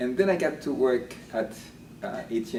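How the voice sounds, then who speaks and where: A man speaks with a Haitian accent. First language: Haitian Creole. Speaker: linguistics professor. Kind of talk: interview. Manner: hesitant with fillers and repeats.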